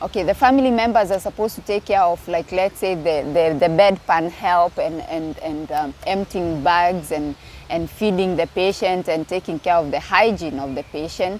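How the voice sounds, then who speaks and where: A woman's fairly low-pitched voice with ordinary pitch variation, moderate pace and hardly any pauses, over noticeable background noise. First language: not English. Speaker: YouTuber. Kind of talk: casual vlog talk. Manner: hesitant, many fillers.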